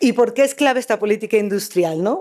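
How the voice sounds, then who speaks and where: This woman talks at a very fast pace. Her tone is dark and mellow. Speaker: conference speaker, academic. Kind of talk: conference talk. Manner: halting, many fillers.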